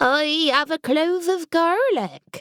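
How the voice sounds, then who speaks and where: A female-sounding voice performs a put-on character voice. The pitch is extremely high. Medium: read story. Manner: cheerful, delighted.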